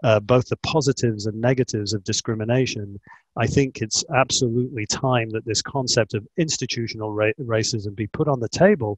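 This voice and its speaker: A man talks at a fairly quick pace with hardly any pauses, his somewhat breathy voice keeping a fairly even intonation in a dry, close sound with no echo. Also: medium pitch for a man, quiet background. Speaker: asset management executive. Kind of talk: panel discussion.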